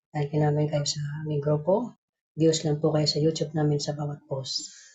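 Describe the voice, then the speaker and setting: Somewhat breathy and monotone with flat intonation, the voice keeps a moderate pace. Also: woman, very deep, low pitch for a woman. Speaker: group admin announcing raffle winners. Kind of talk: casual live stream announcement. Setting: live stream call.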